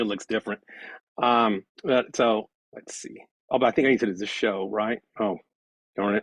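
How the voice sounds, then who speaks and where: The sound is dry and close, with no echo. A man speaks with big swings in loudness. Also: fairly low pitch for a man. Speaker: political science professor. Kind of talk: lecture. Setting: video call. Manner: fast.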